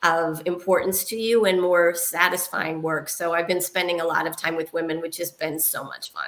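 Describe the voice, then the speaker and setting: In a plain, everyday voice, a woman speaks at a moderate pace with a fairly low pitch. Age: 60s. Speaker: technology executive and board member. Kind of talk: interview.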